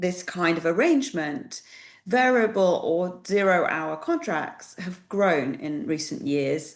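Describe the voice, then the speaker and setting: A woman's fairly low voice in a British accent, fairly slow, with audible room echo. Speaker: employment relations specialist presenting a webinar. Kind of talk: webinar presentation. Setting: online webinar.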